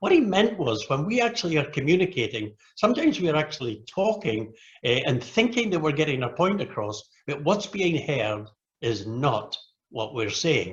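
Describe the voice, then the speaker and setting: Speaking at a moderate pace in a British accent, a man with a fairly high pitch swings his pitch very widely. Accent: British accent, noticeable to Americans. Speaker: Rotary club leader and speaker. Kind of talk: training presentation.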